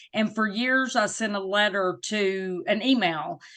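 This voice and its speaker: Against a quiet background, a woman with a Southern US accent speaks at a fairly high pitch in a bright, sharp tone. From US South. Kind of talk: interview.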